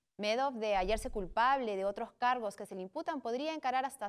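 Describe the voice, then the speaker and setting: Against a quiet background, a woman speaks at a moderate pace and a fairly high pitch. Her intonation is lively. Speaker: co-anchor. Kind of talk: news reading. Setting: studio. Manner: formal, even and measured newsreader tone. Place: studio. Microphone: lapel.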